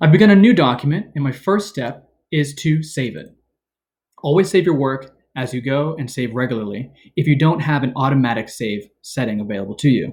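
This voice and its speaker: Fairly quick, somewhat breathy speech from a man at fairly high pitch, lively intonation, quiet background. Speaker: teacher. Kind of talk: tutorial. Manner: fast. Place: home room. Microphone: webcam.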